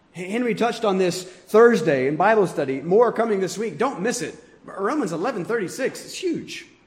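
With audible room echo around him, a man speaks in a high pitch and lively intonation. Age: 30s. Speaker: pastor. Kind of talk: sermon. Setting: church.

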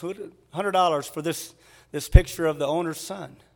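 A man's high-pitched, animated voice at a fairly quick pace, on a very clean recording with a silent background. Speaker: preacher. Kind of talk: sermon. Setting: church with congregation. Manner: animated, earnest, engaging the congregation with questions.

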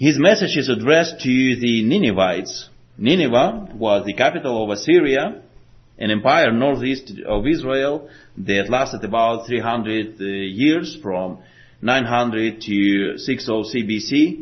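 A man with a Slavic accent, medium pitch and a very slow pace. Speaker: preacher. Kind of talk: sermon. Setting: church.

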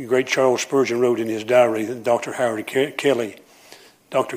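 In a Southern US accent, a man talks at a medium pitch with monotone, flat intonation. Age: 70s. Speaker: preacher. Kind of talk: sermon. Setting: church.

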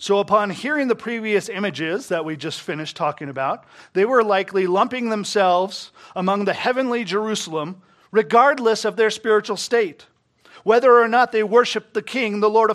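Loud and at a fairly quick pace, a man with a high pitch and ordinary pitch variation speaks on a very clean recording with a silent background. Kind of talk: sermon. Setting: church.

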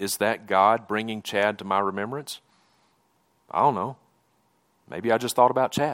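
A man speaks at a moderate pace with ordinary pitch variation. He leaves long, frequent pauses, and the recording is very clean with a silent background. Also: fairly low pitch for a man. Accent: Southern US. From Mississippi, US South. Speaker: preacher. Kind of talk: sermon. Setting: church.

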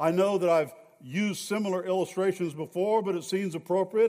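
This man's voice is high-pitched, moving at a moderate pace with ordinary pitch variation. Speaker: pastor. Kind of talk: sermon; church announcements. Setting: church.

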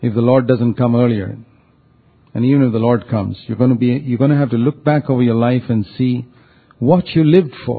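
Ordinary pitch variation and a fairly quick pace in an unremarkable speaking voice. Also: man, medium pitch for a man. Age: 60s. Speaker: preacher. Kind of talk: sermon.

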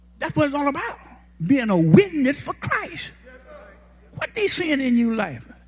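Against noticeable background noise, a man with an extremely high pitch and very wide pitch swings leaves long, frequent pauses. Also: moderate pace. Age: 80s+. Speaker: guest preacher. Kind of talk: sermon. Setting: church. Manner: folksy, humorous, frank.

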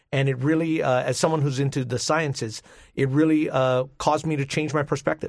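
Talking at a fairly quick pace, this man has a fairly high pitch. His intonation is monotone and flat. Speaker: pastor and speaker. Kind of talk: radio call-in interview.

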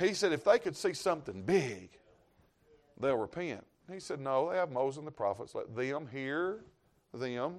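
With a Southern US accent, a man speaks at a moderate pace in a fairly high pitch, his voice swinging very widely in pitch between long, frequent pauses. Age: 50s. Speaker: traveling evangelist preacher. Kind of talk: sermon. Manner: animated.

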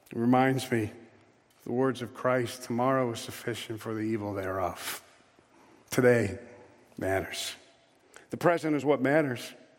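With long, frequent pauses and audible room echo, a man at medium pitch speaks with ordinary pitch variation. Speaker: preacher. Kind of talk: sermon. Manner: slow.

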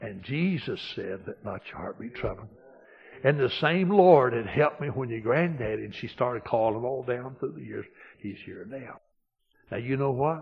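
Somewhat breathy and with big swings in loudness, a man talks at a moderate pace and medium pitch with lively intonation. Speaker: pastor. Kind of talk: sermon. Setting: church.

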